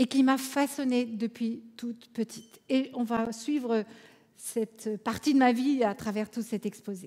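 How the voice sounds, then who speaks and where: Speaking in an Alsatian accent, a woman with a fairly high pitch goes at a fairly slow pace with fairly even intonation. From France, Alsace. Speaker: conference speaker, coach. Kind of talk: conference talk.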